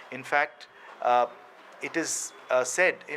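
Fairly high for a man, this man's voice carries a bright, sharp tone. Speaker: organisation spokesperson. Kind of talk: press briefing. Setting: press interaction. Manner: halting, many fillers.

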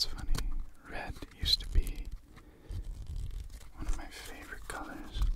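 Whispering in a relaxed tone, a man talks at a moderate pace with long, frequent pauses. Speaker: ASMR creator. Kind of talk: ASMR trigger video, casual talk to camera. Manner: soft, relaxed, whispery. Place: home room. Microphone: studio mic.

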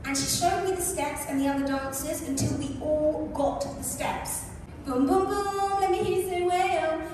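Speaking at a moderate pace, a woman's voice comes through strong room echo and noticeable background noise. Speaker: speaker. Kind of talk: storytelling talk. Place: stage.

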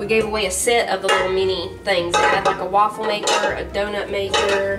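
Music plays clearly behind a woman as she talks. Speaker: home cooking vlogger. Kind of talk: casual vlog chat. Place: kitchen. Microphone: camera far.

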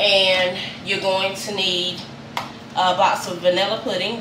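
Noticeable background noise is present. A woman is speaking. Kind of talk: cooking tutorial. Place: kitchen. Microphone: camera far.

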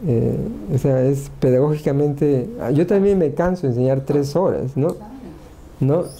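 A man speaks at a fairly slow pace and a fairly high pitch. His loudness is very even and his pitch variation ordinary. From Peru. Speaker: engineering professor. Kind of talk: talk at a workshop. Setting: workshop with audience. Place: office. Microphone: lapel.

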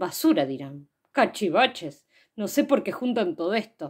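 A woman speaks at a fairly slow pace. Her background is quiet. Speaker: poet and poetry reader. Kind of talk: poetry reading aloud for children. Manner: soft, playful, hushed, confiding. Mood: playful, warm, animated. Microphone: phone near.

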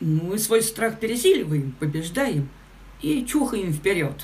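A woman speaks at a fairly slow pace in a slightly mellow tone, with audible room echo.

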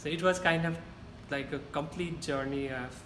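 Over noticeable background noise, someone with a Nepali accent talks at a fairly quick pace with fairly even intonation. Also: man. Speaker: university student. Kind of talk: interview answer. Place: meeting room. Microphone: camera far.

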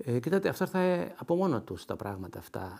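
A man speaks at a moderate pace with vocal fry. His pitch swings very widely. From Greece, Kallithea (Athens); Greece. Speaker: retired ambassador and poet. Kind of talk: interview. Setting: his home. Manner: hesitant, many filler sounds. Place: home room. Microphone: lapel.

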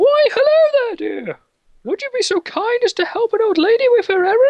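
A female-sounding, put-on character voice comes through at an extremely high, squeaky pitch. The pace is moderate. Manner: sweet, polite, pleading.

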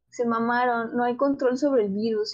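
The speaker is a woman with a high-pitched voice. She talks in a Mexican accent. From Mexico. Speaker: podcast co-host. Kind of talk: casual chat.

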